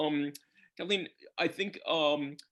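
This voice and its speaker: With an American accent, a man speaks at a moderate pace in a fairly high pitch, an unremarkable speaking voice. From US. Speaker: bookseller and interviewer. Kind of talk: author interview. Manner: formal.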